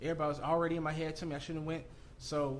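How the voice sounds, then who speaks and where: With an American accent, a man speaks at a fairly high pitch in a room with audible echo. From Southern California. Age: 30s. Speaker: entrepreneur and real estate investor. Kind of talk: casual interview. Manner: animated.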